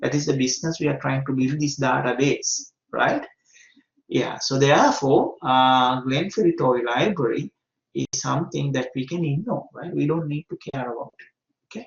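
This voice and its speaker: The man's voice sits fairly high and comes out somewhat breathy. His pitch varies in an ordinary way. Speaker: university lecturer. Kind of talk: lecture. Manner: slow, deliberate; hesitant, many fillers.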